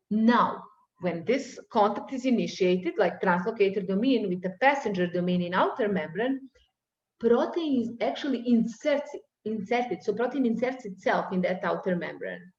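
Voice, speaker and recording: With a non-native accent, a woman speaks at a moderate pace and fairly high pitch. Her intonation is lively, and room echo is audible. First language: not English. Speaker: university lecturer. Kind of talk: lecture. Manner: halting.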